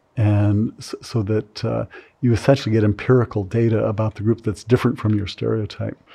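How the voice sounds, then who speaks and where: A man with an American accent speaks fairly quickly in a fairly low, somewhat breathy voice. His dark, mellow tone stays monotone, with flat intonation. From California. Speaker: psychology professor. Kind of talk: interview. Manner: halting.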